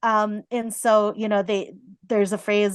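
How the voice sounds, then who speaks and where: With a quiet background, a woman talks at a moderate pace in an ordinary speaking voice, medium in pitch. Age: 30s. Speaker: counselor. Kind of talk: casual chat.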